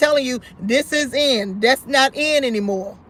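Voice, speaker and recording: A woman speaks loudly. Her pitch is high. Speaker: talk show host. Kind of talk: live call-in show.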